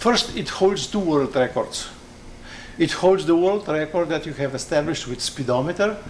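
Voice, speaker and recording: At a moderate pace, a man with a non-native accent speaks with ordinary pitch variation over noticeable background noise. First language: not English. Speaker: aircraft designer. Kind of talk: technical conversation. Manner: halting.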